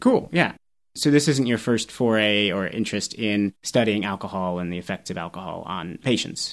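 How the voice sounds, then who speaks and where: An ordinary speaking voice at a moderate pace with ordinary pitch variation, recorded very cleanly against a silent background. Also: man, fairly low pitch for a man. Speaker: toxicology podcast host, assistant professor. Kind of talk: interview on a medical podcast.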